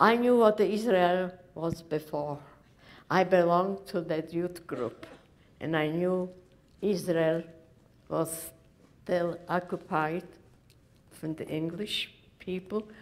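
This woman's voice sits fairly low in pitch. She talks at a very slow pace, with long, frequent pauses. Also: fairly even intonation. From Poland, Lodz; Poland. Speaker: Holocaust survivor. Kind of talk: testimony. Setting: stage with audience. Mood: earnest, grave storytelling. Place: hall.

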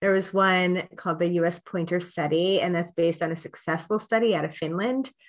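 A woman with an American accent, an ordinary speaking voice, fairly low pitch, ordinary pitch variation and a moderate pace, against a quiet background. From Pennsylvania. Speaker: nonprofit program director; guest. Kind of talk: interview. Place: home room. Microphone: webcam.

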